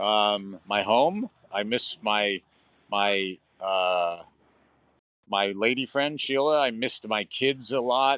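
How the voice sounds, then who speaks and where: The sound is dry and close with no echo. A man talks with ordinary pitch variation. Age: 60s. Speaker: long-distance cyclist. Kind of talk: casual interview chat. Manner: halting, many fillers.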